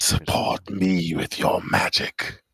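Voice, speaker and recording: A man uses a put-on character voice with a very deep, low pitch. The sound is dry and close with no echo. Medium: actual play. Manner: terse, commanding.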